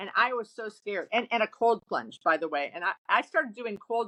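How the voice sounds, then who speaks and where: Dry and close with no echo, a woman's voice comes through with a bright, sharp tone. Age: 60s. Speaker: retail real estate business owner. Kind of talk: casual interview chat. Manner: animated, with many false starts.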